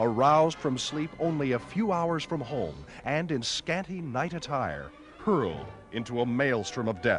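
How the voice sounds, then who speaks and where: A man talks at a fairly slow pace and medium pitch with very wide pitch swings. Music plays in the background. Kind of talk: 1930s newsreel narration. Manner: dramatic, urgent.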